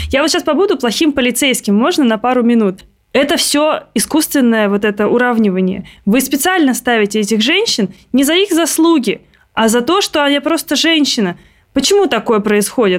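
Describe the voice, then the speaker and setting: Speaking at a moderate pace with very even loudness, a woman uses a high pitch and very wide pitch swings on a very clean recording with a silent background. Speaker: podcast host and producer. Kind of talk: casual interview.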